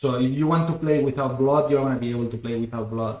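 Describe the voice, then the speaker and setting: This man has a Catalan accent and a fairly high pitch. His pitch variation is ordinary. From Spain, Barcelona. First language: Spanish. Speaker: game developer. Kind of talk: live stream chat. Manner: halting.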